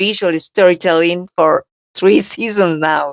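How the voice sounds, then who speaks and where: In a dry, close sound with no echo, a woman speaks with a Spanish accent at a fairly slow pace. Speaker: actress and interviewer. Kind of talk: interview.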